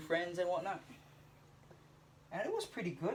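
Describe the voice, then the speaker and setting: Noticeable background noise sits behind a man's high-pitched voice. He speaks at a moderate pace. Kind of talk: casual talk to camera. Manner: hesitant, stuttering.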